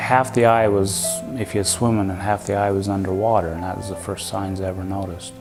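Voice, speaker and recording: A man with an Idaho accent speaks at a fairly quick pace in a fairly low pitch. Music plays in the background. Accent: Western US (Idaho). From Rexburg, Idaho. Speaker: cabinetmaker. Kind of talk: documentary interview answer.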